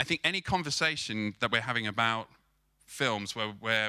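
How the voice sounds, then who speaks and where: This man has a bright, sharp tone, a medium pitch and a British accent. He speaks at a fairly quick pace in a very clean recording with a silent background. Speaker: film marketing agency co-founder. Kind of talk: conference talk. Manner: fast; repetitive false starts.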